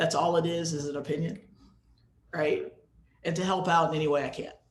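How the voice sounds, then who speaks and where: A man with an American accent speaks at a fairly quick pace in a high, flat, monotone voice. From US, North Carolina. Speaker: music educator, presenter. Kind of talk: webinar presentation with Q&A.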